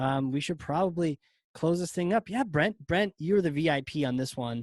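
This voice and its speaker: A man with an American accent talks in an ordinary speaking voice, fairly high-pitched for a man, recorded dry and close with no echo against a quiet background. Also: ordinary pitch variation, moderate pace. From Virginia, US South. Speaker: podcast host. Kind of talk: webinar wrap-up. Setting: live webinar recording.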